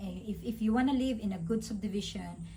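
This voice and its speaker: Vocal fry from a woman at a moderate pace, with audible room echo. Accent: Visayan Filipino. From Philippines, Visayas. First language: Bisaya (Cebuano). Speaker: vlogger. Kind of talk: casual chat. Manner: halting, stuttering.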